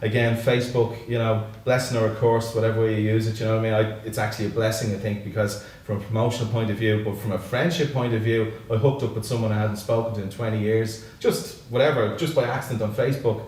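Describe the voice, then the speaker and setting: A man speaks very fast with a Dublin accent, his pitch medium and his intonation fairly even. Noticeable background noise runs underneath. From Ireland, Dublin northside (Santry). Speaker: singer-songwriter and musician. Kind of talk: casual interview. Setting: studio.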